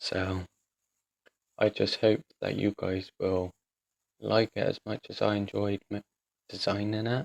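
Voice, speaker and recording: Recorded dry and close with no echo, a man with a fairly low pitch talks at a fairly slow pace with long, frequent pauses. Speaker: gaming youtuber. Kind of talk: gameplay commentary. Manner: monotone; flat, unexcited delivery.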